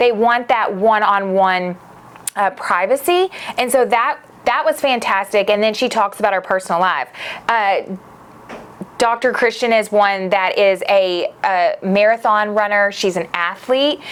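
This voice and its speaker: Speaking in a Southern US accent, a woman with a fairly high pitch and an enthusiastic tone keeps a fairly slow pace, ordinary pitch variation and very even loudness. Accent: southern US twang. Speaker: podcast host; media company founder. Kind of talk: casual podcast monologue.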